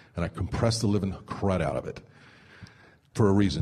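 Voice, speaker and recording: Energetic in tone, a man rattles along at a very fast pace with a fairly low pitch. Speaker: radio imaging director. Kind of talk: instructional talk to camera about radio production. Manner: conversational, energetic.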